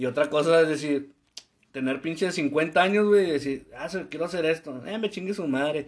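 The man speaks at a moderate pace with a fairly high pitch. He has a normal speaking voice and ordinary pitch variation. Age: 20s. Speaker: podcast co-host. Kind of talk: casual chat.

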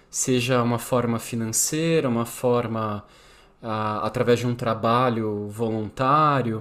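In a very clean recording with a silent background, a man with a plain, everyday voice speaks at a fairly slow pace, medium in pitch and fairly even in intonation. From São Paulo, Brazil. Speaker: podcast host. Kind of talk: casual interview conversation.

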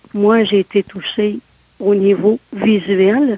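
Very slow pace with fairly even intonation. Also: woman. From Quebec, Côte-de-Beaupré near Quebec City. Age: 60s. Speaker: interviewee with visual impairment. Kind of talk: interview.

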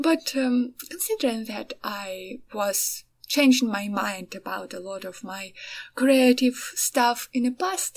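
With a Ukrainian accent, this somewhat breathy voice proceeds at a very slow pace. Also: woman. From Ukraine. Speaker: artist and podcaster. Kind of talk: casual solo monologue. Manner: halting, many fillers.

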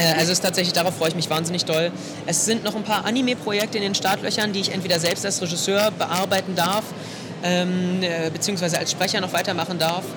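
Amid noticeable background noise, a man with a high pitch talks at a very fast pace, his loudness very even and his intonation fairly even. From Potsdam, Germany. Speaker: voice actor. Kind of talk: interview. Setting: convention floor.

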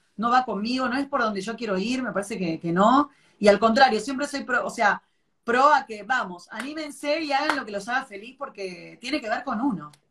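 Fairly quick speech from a woman at a high pitch, with ordinary pitch variation and big swings in loudness. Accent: Rioplatense. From Buenos Aires, Palermo. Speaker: TV show host. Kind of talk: casual chat.

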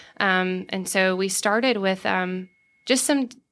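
A woman with a Southern US accent, bright, sharp tone, medium pitch and fairly even intonation, in a very clean recording with a silent background. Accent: Southern American. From US South, Savannah, Georgia. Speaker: food entrepreneur. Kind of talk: casual interview.

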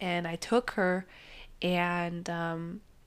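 A woman's fairly low voice in a very clean recording with a silent background. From Mexico. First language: Spanish. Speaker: podcast host. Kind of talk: casual chat, interview.

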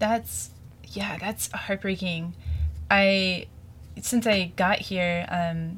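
A woman with an American accent has a fairly low pitch and a somewhat breathy sound. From Springfield, Missouri. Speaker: college radio host and DJ. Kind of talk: radio interview. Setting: radio studio. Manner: hesitant, many fillers.

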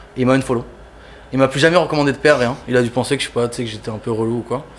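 This man's medium-pitched voice moves along at a very fast pace. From Toulouse, southern France. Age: 20s. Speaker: sneaker customizer artist. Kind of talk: casual chat.

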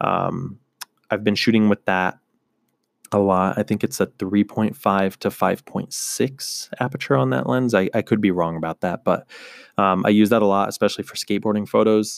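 A man's fairly low-pitched, normal speaking voice at a moderate pace, ordinary pitch variation, dry, close sound with no echo, and a very clean recording with a silent background. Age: 20s. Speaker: podcast host and photographer. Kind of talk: solo monologue podcast. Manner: many filler words (um, uh).

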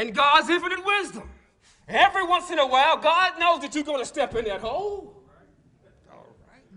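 A man's extremely high-pitched, raised, projected voice with a bright, sharp, animated tone, lively intonation, big swings in loudness, a moderate pace and long, frequent pauses. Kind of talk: sermon. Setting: church. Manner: animated, call-and-response preaching, urgent and exhortative.

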